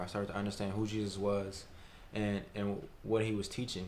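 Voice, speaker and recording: A man with an American accent and a fairly low pitch, at a fairly quick pace, in a monotone, flat intonation, with audible room echo. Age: 20s. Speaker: college student. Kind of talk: testimony.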